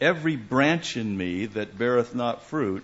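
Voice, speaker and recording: A man's plain, everyday voice at a medium pitch and a fairly slow pace, with ordinary pitch variation. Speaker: visiting preacher. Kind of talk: sermon with live interpretation. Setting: church.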